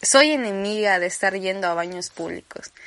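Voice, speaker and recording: Fairly slow speech comes across in an animated tone. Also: woman. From Campeche, Mexico. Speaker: podcaster. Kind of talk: casual monologue.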